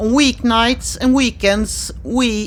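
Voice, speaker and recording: A woman speaks with a Swedish accent over noticeable background noise. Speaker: horse owner vlogger. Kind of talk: scripted narration.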